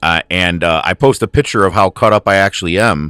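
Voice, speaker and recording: A man with a fairly low pitch speaks in a dry, close sound with no echo while music plays in the background. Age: 40s. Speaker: podcast host. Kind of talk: casual monologue rant. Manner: animated.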